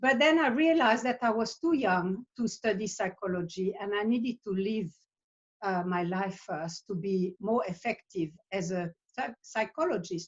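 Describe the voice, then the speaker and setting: At a moderate pace, a woman speaks in a medium pitch, somewhat breathy, with lively intonation. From Switzerland. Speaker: psychotherapist. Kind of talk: interview monologue. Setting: video call. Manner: halting.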